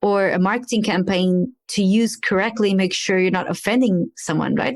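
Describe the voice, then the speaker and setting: A woman speaks with a Portuguese accent. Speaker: podcast host. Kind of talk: interview podcast.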